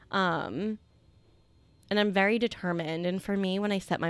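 A woman at a moderate pace and fairly low pitch, an ordinary speaking voice, in a very clean recording with a silent background. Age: 30s. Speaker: retail buyer, fitness client. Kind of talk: casual interview.

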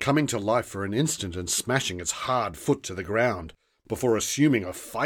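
Lively intonation in an unforced reading voice, set against a quiet background.

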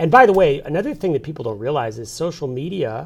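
Somewhat breathy, a man's voice rushes along very fast. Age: 40s. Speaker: newspaper publisher. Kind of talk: interview. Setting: studio.

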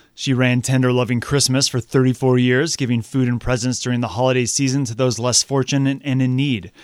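A plain, everyday voice talks at a fairly quick pace. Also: man, hardly any pauses. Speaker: radio reporter. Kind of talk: news reading. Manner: clear, upbeat, polished.

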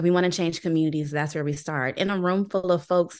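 A woman speaking at a very fast pace over a quiet background. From Maryland, US (Landover, near Washington DC). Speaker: nonprofit program manager. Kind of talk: interview.

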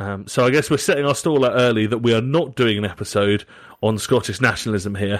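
Talking at a very fast pace, a man with a medium-pitched voice and ordinary pitch variation speaks in a Southern English accent. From southern England. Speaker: podcast host. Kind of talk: casual chat.

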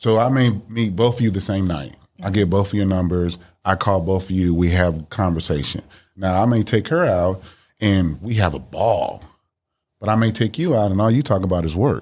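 Speaking with an American accent, a man uses an unremarkable speaking voice at a fairly low pitch. He talks at a moderate pace with ordinary pitch variation on a very clean recording with a silent background. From Miami, Florida. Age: 50s. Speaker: dating podcast guest. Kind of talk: casual chat.

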